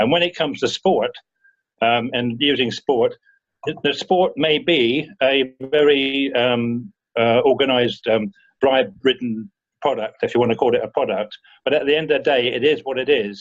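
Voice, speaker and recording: Keeping his loudness very even, a man with a plain, everyday voice and fairly high pitch speaks at a moderate pace with ordinary pitch variation. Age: 60s. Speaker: rotary club member. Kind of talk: Q&A discussion.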